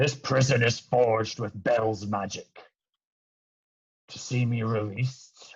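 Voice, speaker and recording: A man uses a raspy, put-on character voice at a medium pitch. He talks at a fairly slow pace with long, frequent pauses. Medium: actual play. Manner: cryptic, evasive.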